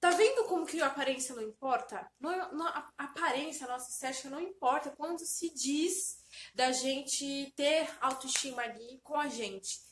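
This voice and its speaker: Her voice sits at a high pitch with ordinary pitch variation. The woman keeps a moderate pace with hardly any pauses. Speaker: self-help vlogger. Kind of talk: motivational talk to camera. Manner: animated.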